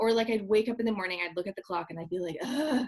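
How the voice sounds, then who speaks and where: Speaking in an ordinary speaking voice, a woman holds a medium pitch and shows ordinary pitch variation. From Canada. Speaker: speaker and parenting author. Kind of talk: interview.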